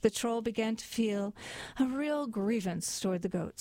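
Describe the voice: The speaker reads plainly aloud with ordinary pitch variation.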